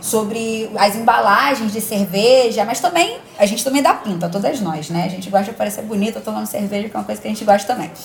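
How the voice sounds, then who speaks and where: The speech races along at a very fast pace with hardly any pauses, over noticeable background noise. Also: woman, medium pitch for a woman, ordinary pitch variation. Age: 30s. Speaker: journalist. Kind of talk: casual chat. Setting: video call.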